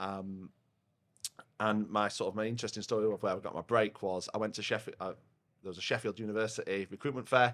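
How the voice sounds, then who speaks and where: Someone with a Yorkshire accent speaks at a very fast pace in monotone, flat intonation. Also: man, fairly low pitch for a man. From northern England, South Yorkshire (Rotherham). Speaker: software company partnerships head. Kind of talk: casual podcast interview. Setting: pub, recorded over a beer. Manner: loud.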